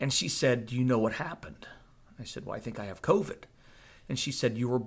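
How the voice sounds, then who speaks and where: A man with an American accent uses a normal speaking voice at a medium pitch, speaking at a fairly quick pace with ordinary pitch variation. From northern Virginia, US. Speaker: COVID survivor telling testimony. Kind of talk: testimony, interview.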